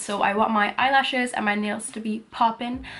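Fairly quick speech from a woman. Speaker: vlogger. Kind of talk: casual vlog chat. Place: home room. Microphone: phone near.

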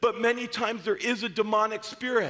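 A man's bright, sharp tone against a quiet background. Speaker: preacher. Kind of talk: sermon. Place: church.

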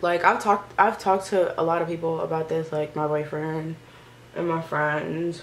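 Light background noise under a woman's fairly low voice, moderate in pace and monotone, with flat intonation. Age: 20s. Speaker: YouTuber, recent college graduate. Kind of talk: casual vlog chat while doing makeup. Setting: at home in front of a camera and mirror. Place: home room. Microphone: phone near.

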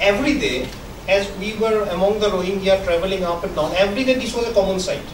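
Noticeable background noise sits behind a man talking at a fairly quick pace. His voice is high, with ordinary pitch variation. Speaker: journalist presenter. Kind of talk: lecture. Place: hall. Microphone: podium.

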